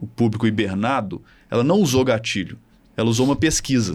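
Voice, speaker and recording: In a plain, everyday voice at a medium pitch, a man talks at a fairly quick pace with ordinary pitch variation. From Minas Gerais, Brazil (Belo Horizonte). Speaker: marketing professor and tech founder. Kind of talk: casual interview chat.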